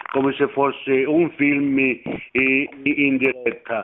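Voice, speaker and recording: A man speaks at a fairly high pitch. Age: 60s. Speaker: radio caller. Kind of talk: casual chat. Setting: phone call. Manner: halting.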